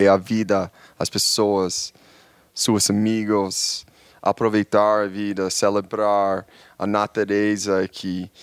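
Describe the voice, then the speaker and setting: In a very clean, silent recording with a dry, close sound and no echo, a man with a fairly low voice and an English accent talks very slowly in a flat monotone. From New York, US. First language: English (speaking Portuguese). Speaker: social media travel creator. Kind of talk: casual chat.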